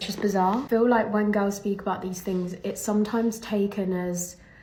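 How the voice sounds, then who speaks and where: A woman with an English accent has a dark, mellow, somewhat breathy voice. Audible room echo surrounds her words. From England. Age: young. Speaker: professional golfer. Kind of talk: casual vlog monologue.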